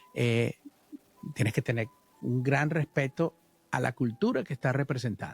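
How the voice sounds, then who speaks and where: A man at a moderate pace over music in the background. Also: dry, close sound with no echo. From Venezuela. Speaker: musician. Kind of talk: interview.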